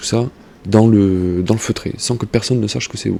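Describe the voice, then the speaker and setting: The man has a fairly low-pitched voice with fairly even intonation. Noticeable background noise runs underneath. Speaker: gaming YouTuber. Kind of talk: game tutorial. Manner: soft-spoken; halting, many fillers.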